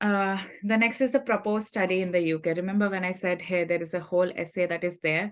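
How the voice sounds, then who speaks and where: A woman with a Telugu accent speaks at a medium pitch and moderate pace. Her intonation is fairly even, and the background is quiet. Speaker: scholarship recipient sharing advice. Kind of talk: workshop talk.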